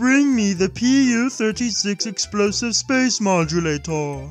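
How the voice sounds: Over clear background music, a man does a high-pitched, put-on character voice at a fairly slow pace.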